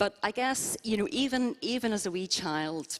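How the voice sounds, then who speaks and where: The speaker is a woman. She has a Northern Irish accent. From Northern Ireland, Belfast. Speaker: interview guest at church service. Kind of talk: interview testimony. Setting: church service with congregation.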